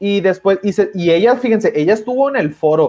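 In a Mexican accent, a man speaks at a moderate pace with very wide pitch swings. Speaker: YouTube political commentator. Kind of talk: casual livestream discussion.

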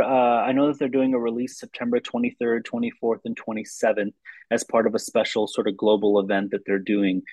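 A man with an American accent speaks fairly quickly in a normal speaking voice. His pitch is medium and his intonation fairly even. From US Midwest, Lansing, Michigan. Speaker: documentary film director. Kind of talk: interview conversation.

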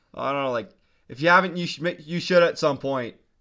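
Very fast speech comes from a man with a fairly high, bright and sharp voice. The recording is very clean, with a silent background. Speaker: podcast host. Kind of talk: casual chat. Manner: casual, upbeat.

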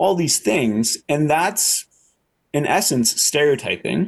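A man with a Canadian accent speaks at a moderate pace with ordinary pitch variation. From Canada. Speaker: social psychology researcher. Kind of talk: interview. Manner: halting with frequent repetitions and fillers.

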